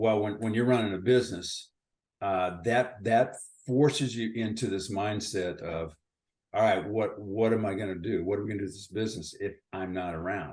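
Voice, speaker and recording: A man with an ordinary speaking voice talks at a moderate pace and fairly low pitch, with ordinary pitch variation. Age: 60s. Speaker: retired company founder. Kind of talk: interview.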